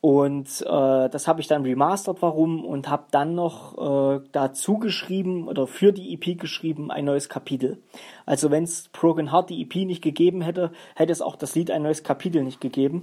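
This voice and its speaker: A man with a fairly high pitch and a dark, mellow tone talks at a moderate pace, with ordinary pitch variation and big swings in loudness. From Saxony-Anhalt, Germany. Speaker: hobby musician and podcaster. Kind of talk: casual solo podcast talk. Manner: hesitant, many filler sounds.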